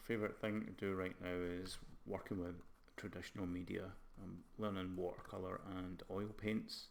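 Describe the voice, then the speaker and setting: In a room with audible echo, a man speaks at a moderate pace in a very deep, low, monotone voice with flat intonation. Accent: slight Scottish. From Scotland. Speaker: game art lecturer and live streamer. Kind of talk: casual live stream chat. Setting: live stream.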